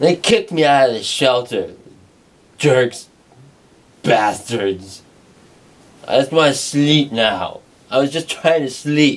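Mumbling at a very slow pace, a man talks with ordinary pitch variation and long, frequent pauses. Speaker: performer in a comic skit. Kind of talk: casual acted monologue. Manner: slurred, drowsy drunk mumble. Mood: sleepy, grumbling. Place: home room. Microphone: camera far.

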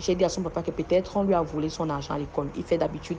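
A woman's unremarkable speaking voice, fairly low in pitch, with fairly even intonation. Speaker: mother sharing testimony. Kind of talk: testimony.

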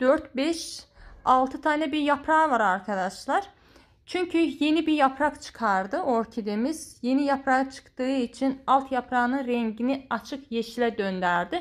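The voice moves at a moderate pace with lively intonation over a quiet background. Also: woman, high pitch for a woman. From Georgia (Azerbaijani community). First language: Azerbaijani (speaking Turkish). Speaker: plant care vlogger; home orchid care vlogger. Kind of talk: tutorial; casual chat. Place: home room. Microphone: phone near.

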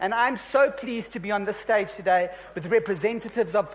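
The speaker is a man with a high pitch. He talks at a moderate pace with ordinary pitch variation. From South Africa. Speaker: session moderator. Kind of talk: panel moderation. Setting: stage with audience. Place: stage. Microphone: handheld.

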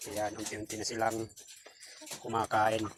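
A man talks at a fairly quick pace in a medium pitch. Noticeable background noise runs behind him.

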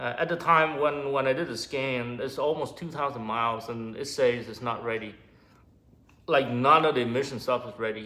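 A man keeps a moderate pace, his intonation fairly even throughout. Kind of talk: casual vlog chat. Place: garage. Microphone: phone near.

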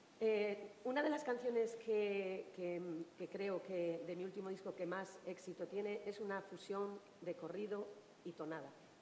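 Audible room echo and light background noise surround the recording. A woman speaks at a fairly slow pace. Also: ordinary pitch variation. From Asturias. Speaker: singer; panelist. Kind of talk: panel discussion answer. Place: stage. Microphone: headset.

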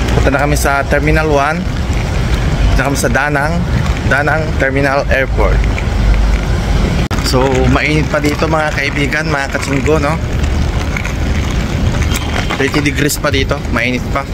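Loud background noise runs under fairly slow speech broken by long, frequent pauses. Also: man. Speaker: travel vlogger. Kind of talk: casual vlog chat. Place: street. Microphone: phone near.

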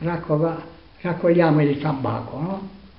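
Audible room echo surrounds the voice. The pace is fairly slow. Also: man. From Salento, Apulia, southern Italy. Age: 80s+. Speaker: farmer. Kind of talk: interview answer. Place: home room. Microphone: phone near.

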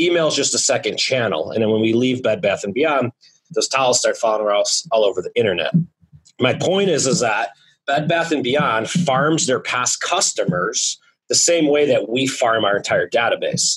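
The background is quiet. The speech moves at a moderate pace. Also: man. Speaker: podcast guest. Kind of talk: interview answer. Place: office. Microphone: studio mic.

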